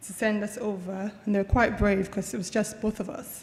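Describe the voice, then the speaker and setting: A woman with an American accent speaks at a fairly quick pace, her medium-pitched voice held in a flat monotone. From Nigeria, Lagos. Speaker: university lecturer and researcher. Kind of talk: conference talk.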